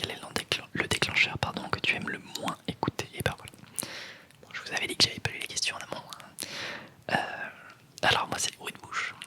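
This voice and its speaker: Whispering at a moderate pace, a woman's loudness swings widely. Background noise is noticeable. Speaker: ASMR content creator. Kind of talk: casual talk to camera, ASMR tag Q&A. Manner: soft-spoken, whispering.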